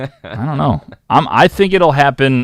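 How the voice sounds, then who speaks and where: A man talks with lively intonation. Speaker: sports show host. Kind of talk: live sports show banter. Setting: studio. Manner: loud.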